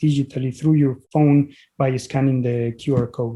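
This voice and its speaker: A man with a strong Mexican accent speaks at a moderate pace, his fairly high voice carrying a dark, mellow tone. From Mexico (Puebla, Mexico City). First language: Spanish. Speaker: physician and author. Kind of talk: interview podcast.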